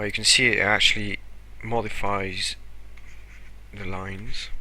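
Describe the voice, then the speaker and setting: A man speaks at a fairly slow pace with audible room echo. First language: French. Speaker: animation tutorial youtuber. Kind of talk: screen-recorded tutorial. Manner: casual, hesitant with fillers.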